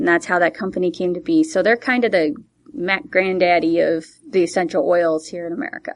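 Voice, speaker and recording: Speaking with a normal speaking voice, a woman talks at a fairly quick pace with medium pitch and lively intonation. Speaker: essential oils distributor. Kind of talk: casual chat.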